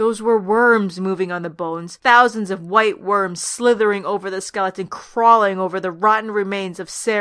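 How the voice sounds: Fairly even intonation runs through this natural reading voice.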